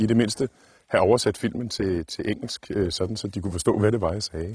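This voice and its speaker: On a very clean recording with a silent background, a man speaks at a medium pitch in a somewhat breathy voice. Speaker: outdoor YouTuber, scout. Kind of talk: vlog monologue. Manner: hesitant, many filler sounds.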